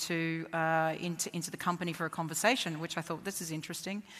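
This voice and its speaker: A woman with an Australian accent speaks in a bright, sharp tone. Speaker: tech company founder. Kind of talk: panel discussion.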